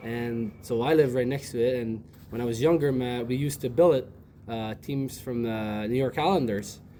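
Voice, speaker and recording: This man has a Quebec accent and a medium pitch. His pitch varies in an ordinary way. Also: moderate pace. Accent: Québécois French-accented English. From Quebec City, Canada. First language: French. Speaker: ice hockey player. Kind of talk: interview.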